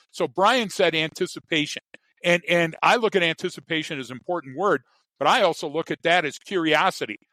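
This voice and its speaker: A high-pitched man with an American accent has a bright, sharp tone and ordinary pitch variation. The sound is dry and close, with no echo. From US Midwest, Chicago. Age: 60s. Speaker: behavioral expert and trainer. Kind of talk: interview. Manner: animated; repeats words.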